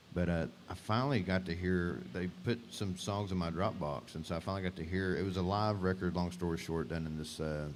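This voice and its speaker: In an East Texas accent, a man with a very deep, low voice talks very fast with fairly even intonation. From Northeast Texas (Beckville). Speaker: singer-songwriter. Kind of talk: casual chat.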